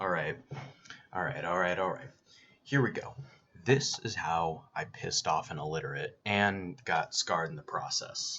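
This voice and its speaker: A man's raspy, put-on character voice, very deep and low, at a moderate pace. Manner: casual storytelling kickoff.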